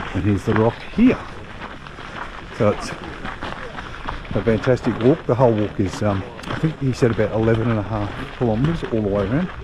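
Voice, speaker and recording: A man with a fairly low pitch talks at a middling speed, with background noise noticeable behind him. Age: 60s. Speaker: travel vlogger. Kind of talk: casual vlog talk to camera. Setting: outdoors.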